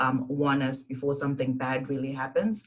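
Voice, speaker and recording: The delivery comes at a moderate pace with monotone, flat intonation. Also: woman. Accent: Zimbabwean. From Zimbabwe. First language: Shona. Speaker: engineer, university alumna. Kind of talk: panel presentation.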